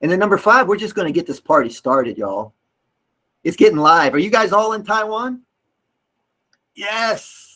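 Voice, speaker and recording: Raising and projecting his high voice, a man with a Southern US accent talks at a moderate pace in a bright, sharp, animated tone, using lively intonation and long, frequent pauses. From US South, North Carolina. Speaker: English teacher trainer. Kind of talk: workshop lecture.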